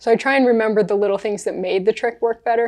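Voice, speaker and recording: A woman with an American accent at a very fast pace, over a quiet background. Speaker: professional juggler. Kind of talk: podcast interview. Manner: animated.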